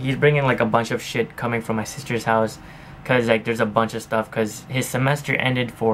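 Light background noise behind a man speaking. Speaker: daily vlogger. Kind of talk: casual vlog chat. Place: home room. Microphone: camera far.

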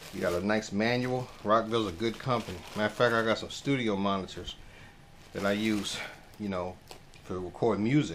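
A man's fairly low voice with ordinary pitch variation, at a moderate pace, with audible room echo. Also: fairly bright tone.

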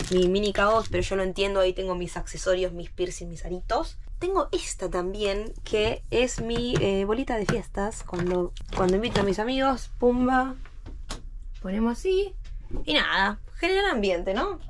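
A woman's fairly high voice at a moderate pace, over light background noise. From Argentina. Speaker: cruise ship crew member and vlogger; vlogger. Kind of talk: video tour vlog. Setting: ship cabin. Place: home room. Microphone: phone near.

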